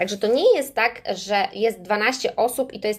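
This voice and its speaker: A woman's fairly high voice in an animated tone, at a moderate pace with ordinary pitch variation. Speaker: English teacher and business trainer. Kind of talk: casual livestream talk to viewers. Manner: animated, chatty.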